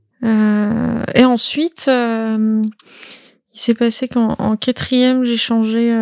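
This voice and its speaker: On a very clean recording with a silent background, a woman speaks in a fairly high voice. Her intonation is monotone and flat, and the sound is dry and close with no echo. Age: 20s. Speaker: video game trailer editor and roleplay streamer. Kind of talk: casual interview. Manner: halting.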